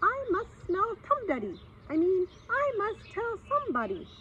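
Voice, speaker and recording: A woman uses a put-on character voice at an extremely high pitch. She speaks at a moderate pace over clear background noise. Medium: read story. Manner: muttering, word-muddling.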